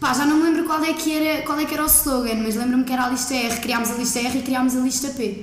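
A woman's high-pitched voice at a very fast pace with hardly any pauses, fairly even intonation and very even loudness, plus audible room echo and noticeable background noise. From central Portugal (Coimbra, Aveiro). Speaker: law student. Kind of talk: casual chat.

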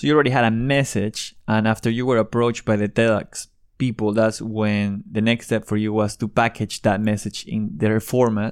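Speaking at a moderate pace with hardly any pauses, a man with a Spanish accent uses a fairly low pitch on a very clean recording with a silent background. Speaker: podcast host. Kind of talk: interview.

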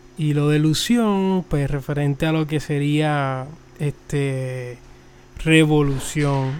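Very slowly, a man with a Puerto Rican accent speaks at a fairly high pitch. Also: fairly even intonation. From Puerto Rico. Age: 20s. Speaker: podcast host, mechanical engineer. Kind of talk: solo religious podcast talk. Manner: halting, many fillers and repetitions.

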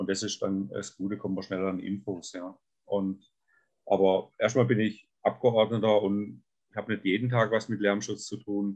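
The speaker keeps a moderate pace. The intonation is monotone and flat. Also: man, fairly low pitch for a man. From southern Baden, Germany. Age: 60s. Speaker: state politician. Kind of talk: podcast interview. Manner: halting, with many fillers.

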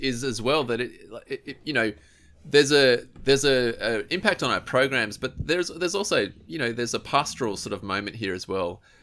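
The voice has a bright, sharp tone with an Australian accent. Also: man. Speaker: podcast host and youth ministry advisor. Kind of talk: casual chat.

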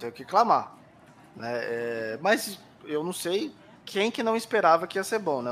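A man's fairly slow speech comes through with noticeable background noise behind it. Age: 30s. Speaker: podcast co-host. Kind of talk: casual chat.

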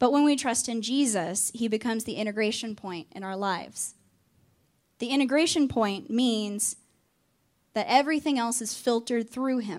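A woman's fairly high voice with ordinary pitch variation, in a Southern US accent. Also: moderate pace, very clean recording, silent background. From Arkansas. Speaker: campus ministry staff. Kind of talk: sermon.

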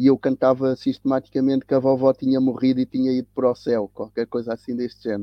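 A man's medium-pitched, monotone, flat delivery at a very fast pace with hardly any pauses. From Cape Verde (São Vicente), raised in Lisbon area, Portugal. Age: 60s. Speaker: tennis coach and teacher, anti-racism activist. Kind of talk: interview conversation. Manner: halting, with repetitions.

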